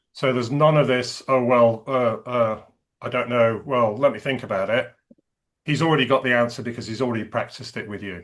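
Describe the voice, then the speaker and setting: A man with an English accent, medium-pitched, with fairly even intonation at a fairly quick pace. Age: 60s. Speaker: executive and career coach. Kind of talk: interview conversation.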